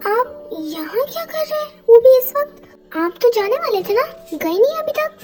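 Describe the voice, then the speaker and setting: A woman puts on a character voice, pitched extremely high and talking at a fairly quick pace. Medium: fan dub. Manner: sassy, argumentative.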